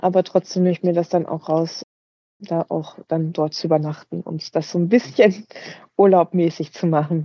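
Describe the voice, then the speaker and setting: A woman speaks in a plain, everyday voice at a moderate pace. Her pitch is fairly low, her intonation fairly even. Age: 40s. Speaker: personal trainer. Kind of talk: interview.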